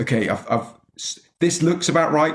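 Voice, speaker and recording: A man's somewhat breathy voice carries a Scottish accent. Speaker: podcast host. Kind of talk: podcast interview conversation.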